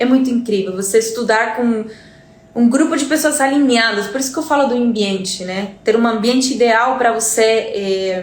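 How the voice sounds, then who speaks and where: Her fairly high pitch shows ordinary variation as a woman speaks at a moderate pace. The room echoes audibly, and there is noticeable background noise. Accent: Spanish. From Uruguay. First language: Spanish (speaking Portuguese). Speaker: Spanish teacher. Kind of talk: live stream talk. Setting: live stream.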